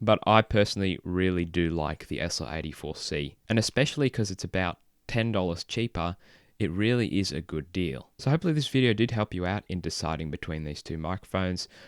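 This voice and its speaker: In an Australian accent, the speaker talks at a fairly quick pace with lively intonation, in a dry, close sound with no echo and a very clean recording with a silent background. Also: man, very deep, low pitch for a man. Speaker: tech reviewer. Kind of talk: product review.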